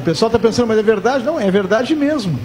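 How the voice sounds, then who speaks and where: There is noticeable background noise in this clip. Through it, a man talks with a high pitch. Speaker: sports radio host. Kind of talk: live radio talk show. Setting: live radio broadcast from a bar.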